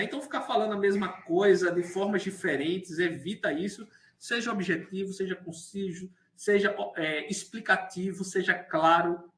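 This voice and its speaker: This man's voice is high-pitched, and he keeps to a moderate pace. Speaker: university lecturer. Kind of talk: lecture. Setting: online class.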